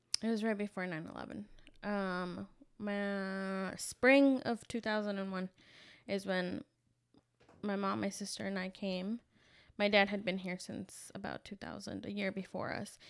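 A woman's medium-pitched voice in a Spanish accent, fairly slow and fairly even in intonation, with long, frequent pauses, on a very clean recording with a silent background. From Veracruz, Mexico, then Virginia from age eight. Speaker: podcast co-host. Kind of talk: casual chat.

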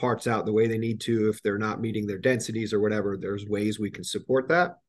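The speaker has a New Jersey accent. The pace is very fast. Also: man. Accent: New Jersey American. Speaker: industrial manufacturing executive. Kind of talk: podcast interview.

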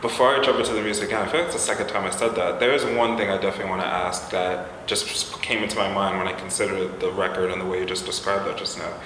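Against noticeable background noise, a man with a fairly low pitch talks at a very fast pace with hardly any pauses and ordinary pitch variation. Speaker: podcast host and music interviewer. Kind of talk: interview.

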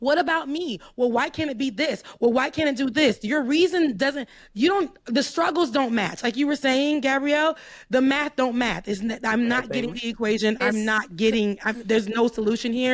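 A woman with an American accent speaks at a moderate pace, high in pitch with ordinary pitch variation. The recording is very clean, with a silent background. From US South, Florida. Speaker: commentator. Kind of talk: casual chat.

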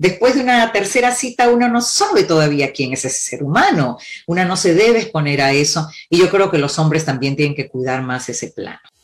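Noticeable background noise sits under a woman's fairly low-pitched voice. She talks at a fairly quick pace with very wide pitch swings. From Peru. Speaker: couples therapist. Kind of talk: interview.

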